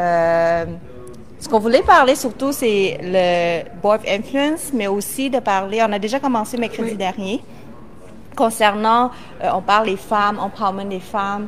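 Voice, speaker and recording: This is an ordinary speaking voice with ordinary pitch variation. It moves at a fairly slow pace. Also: woman, fairly high pitch for a woman. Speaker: co-host of online live show. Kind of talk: casual live-stream chat.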